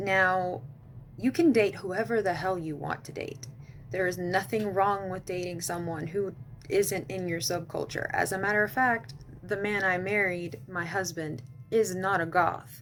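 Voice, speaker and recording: Fairly slow and medium in pitch, a woman talks in a Texan accent with ordinary pitch variation. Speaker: goth lifestyle vlogger. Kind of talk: casual advice vlog.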